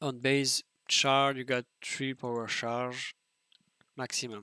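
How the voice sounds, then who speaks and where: In a bright, sharp tone, a man with a non-native accent speaks at a very slow pace. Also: dry, close sound with no echo. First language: French. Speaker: video game streamer. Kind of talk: tutorial. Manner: halting.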